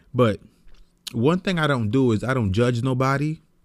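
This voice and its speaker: A man speaks at a medium pitch and a moderate pace, with ordinary pitch variation. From New York City (the Bronx). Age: 30s. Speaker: podcast host. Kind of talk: personal monologue. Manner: casual.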